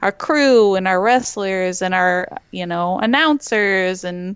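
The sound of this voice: Speaking at a slow pace, a woman has a clear, smooth tone and ordinary pitch variation. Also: medium pitch for a woman.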